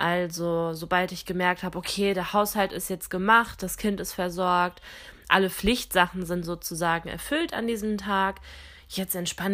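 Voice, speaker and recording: A woman speaks at a moderate pace in a bright, sharp tone, her medium pitch held in fairly even intonation. The recording is very clean, with a silent background. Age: 20s. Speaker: podcast host. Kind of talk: casual monologue.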